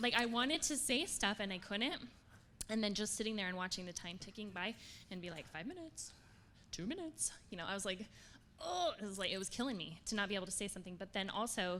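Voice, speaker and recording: Animated and at a very fast pace, a woman speaks at a medium pitch with a bright, sharp tone and lively intonation. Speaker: coaching trainee. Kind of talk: workshop sharing. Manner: fast talker.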